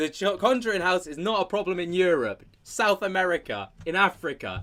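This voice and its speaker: Moderate-paced speech with a British accent on a very clean recording against a silent background. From United Kingdom. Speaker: paranormal commentary YouTuber. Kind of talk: casual commentary chat. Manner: animated.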